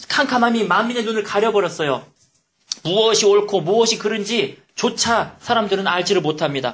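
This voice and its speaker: A man talks in an animated tone at a high pitch. His pace is moderate. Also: ordinary pitch variation, very even loudness. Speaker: pastor. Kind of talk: sermon.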